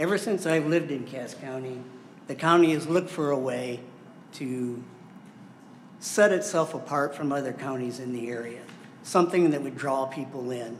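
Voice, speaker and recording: This man has a fairly high pitch, an Upper Midwest accent, ordinary pitch variation and a moderate pace, with long, frequent pauses. Noticeable background noise and audible room echo fill the recording. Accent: Upper Midwest American. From US Midwest (southwest Michigan). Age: 70s. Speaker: member of the public. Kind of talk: public comment at a county board meeting. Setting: county board meeting room.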